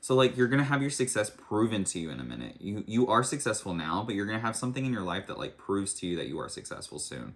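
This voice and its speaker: At a very fast pace, a fairly low-pitched man speaks with lively intonation and vocal fry. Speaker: tarot reader. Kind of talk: tarot reading. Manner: casual, filler-heavy.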